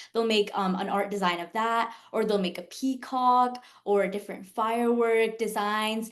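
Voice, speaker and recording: A woman has a normal speaking voice with a fairly high pitch. Her moderate pace has hardly any pauses and fairly even intonation. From US South, Jacksonville, Florida. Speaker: pre-med student. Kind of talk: interview.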